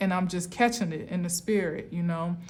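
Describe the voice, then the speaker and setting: A woman speaks with an American accent in a room with audible echo. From US Northeast, Camden, New Jersey. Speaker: tarot reader. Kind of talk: spiritual tarot reading monologue.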